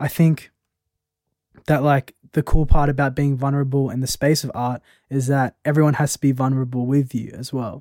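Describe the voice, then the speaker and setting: In an Australian accent, a voice with a dark, mellow tone and monotone, flat intonation moves at a moderate pace, in a dry, close sound with no echo. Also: man, fairly high pitch for a man. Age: 20s. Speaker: poet. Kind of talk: casual chat.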